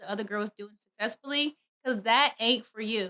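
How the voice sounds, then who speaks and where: The woman's tone is animated. Her voice is raised and projected. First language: not English. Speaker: podcast host. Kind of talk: motivational podcast monologue. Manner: fast.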